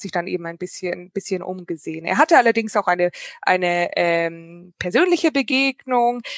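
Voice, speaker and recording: Against a quiet background, a woman talks at a moderate pace with lively intonation in an unremarkable speaking voice. The sound is dry and close, with no echo. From Germany, Munich. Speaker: historian and novelist. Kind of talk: online panel conversation. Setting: video call.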